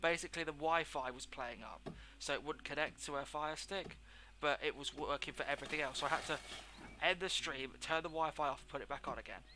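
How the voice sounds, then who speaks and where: A man speaks with a British accent in a bright, sharp tone and a fairly high pitch. His delivery is very fast, with monotone, flat intonation. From England. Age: 20s. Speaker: game streamer. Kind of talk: live gameplay commentary. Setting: live stream at home. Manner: casual, chatty.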